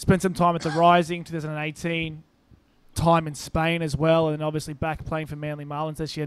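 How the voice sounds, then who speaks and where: With an Australian accent, a man speaks at a moderate pace in a fairly high pitch with monotone, flat intonation, recorded very cleanly against a silent background. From Brisbane, Australia. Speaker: rugby podcast co-host. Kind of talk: casual chat.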